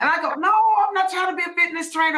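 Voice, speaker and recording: A raised, projected voice, animated in tone and bright and sharp in sound. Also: woman. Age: 50s. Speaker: podcast host. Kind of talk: casual chat.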